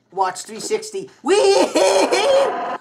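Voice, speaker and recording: A man talks at a very slow pace with noticeable noise in the background. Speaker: gaming youtuber. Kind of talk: gameplay commentary. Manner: animated. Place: home room.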